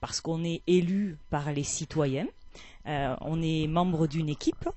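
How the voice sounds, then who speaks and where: Fairly slow, fairly even speech from a woman with a very deep, low pitch. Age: 40s. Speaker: mayor. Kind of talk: interview. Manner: hesitant, many fillers.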